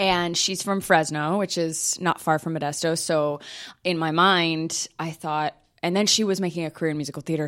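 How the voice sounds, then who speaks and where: Speaking with an American accent, a woman has a very deep, low pitch and fairly even intonation. She talks at a fairly quick pace in a very clean recording with a silent background. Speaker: singer and Broadway actress. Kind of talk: casual interview. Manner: fast.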